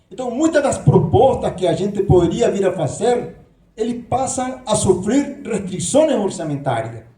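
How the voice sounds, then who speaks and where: With audible room echo, a man in a high, dark, mellow voice speaks at a fairly slow pace with lively intonation. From Nicaragua. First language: Spanish (speaking Portuguese). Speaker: professor, candidate for university leadership. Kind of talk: debate speech. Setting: auditorium with audience.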